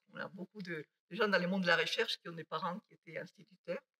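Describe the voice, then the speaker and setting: A woman with a Basque accent speaks in a bright, sharp tone. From Basque Country, Spain (near Bilbao). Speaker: mathematician. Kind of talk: lecture. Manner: halting.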